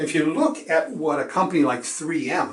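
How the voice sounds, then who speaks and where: Against audible room echo, a man with a fairly high pitch talks at a moderate pace with ordinary pitch variation. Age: 60s. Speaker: securities exam instructor. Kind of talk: lecture. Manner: conversational, with filler words.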